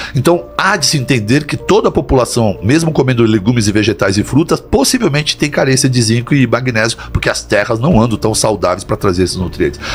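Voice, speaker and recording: A man speaks at a medium pitch with lively intonation and a fairly quick pace. His loudness stays very even while music plays in the background. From Brazil, São Paulo area (Santo André). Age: 60s. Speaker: doctor. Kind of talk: interview.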